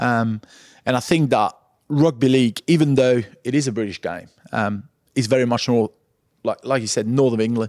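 A man with a medium pitch and fairly even intonation is heard in a very clean recording with a silent background. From Perpignan, France. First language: French. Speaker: former rugby league player, club pundit. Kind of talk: live chat interview before audience. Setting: live stage with audience in brewery taproom.

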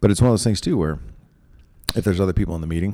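At a very fast pace, a man talks with a dark, mellow tone. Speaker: podcast host. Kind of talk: casual interview chat. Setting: conference room.

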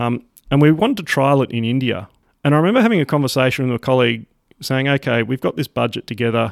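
Very fast and with an Australian accent, a man speaks at a medium pitch with ordinary pitch variation. The sound is dry and close with no echo, on a very clean recording with a silent background. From Sydney, Australia. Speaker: ministry operations director. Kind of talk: interview conversation.

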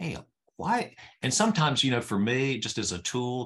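This man has an ordinary speaking voice and an American accent. His intonation is lively, his pace moderate, and the background quiet. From US South, rural North Carolina. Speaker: executive coach. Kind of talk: interview conversation.

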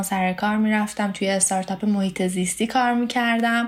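Fairly even intonation comes with a Tehran accent against noticeable background noise. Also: woman. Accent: Tehran Persian. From Iran, Tehran. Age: 20s. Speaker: student, spouse of an international student. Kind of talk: interview, casual chat.

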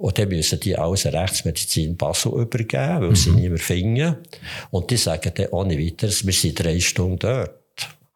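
Pitched very deep and low, a man talks at a moderate pace with lively intonation. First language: Swiss German (speaking German). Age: 70s. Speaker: physician, forensic medical examiner. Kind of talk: interview.

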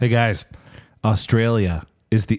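In a plain, everyday voice, a man speaks at a fairly slow pace with fairly low pitch, on a very clean recording with a silent background. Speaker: podcast host. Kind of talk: casual comedic chat.

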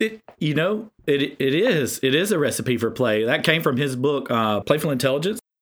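A man with a Southern US accent, animated in tone, at a moderate pace with lively intonation. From South Carolina. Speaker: author and educator.

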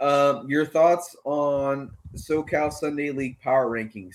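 A man's fairly high-pitched, an unremarkable speaking voice, at a fairly slow pace. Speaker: podcast host. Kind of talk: casual chat.

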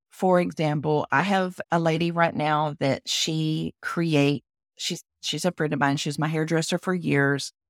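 A woman's very deep, low voice with a Texan accent and fairly even intonation, on a very clean recording with a silent background. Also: fairly slow pace, dry, close sound with no echo. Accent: Southern US, Texan. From Texas. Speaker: business consultant and website designer. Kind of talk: casual interview conversation.

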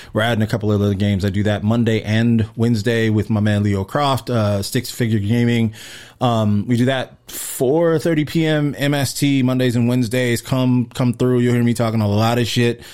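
Over a very clean recording with a silent background, a man with an American accent talks at a moderate pace and medium pitch, with fairly even intonation, very even loudness and hardly any pauses. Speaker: rapper and producer. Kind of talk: casual chat.

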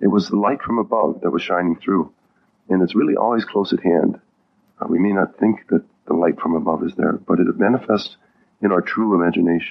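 Speaking at a fairly quick pace, a man with a plain, everyday voice keeps his loudness very even, with a fairly low pitch and ordinary pitch variation. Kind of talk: guided meditation.

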